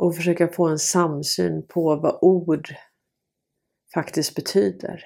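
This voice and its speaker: On a very clean recording with a silent background, a woman with a fairly low pitch, vocal fry and a dark, mellow tone speaks at a very slow pace with fairly even intonation and long, frequent pauses. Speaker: video blogger and commentator. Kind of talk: angry rant about censorship and authorities. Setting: home recording, solo video. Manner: indignant, irritated, fiery.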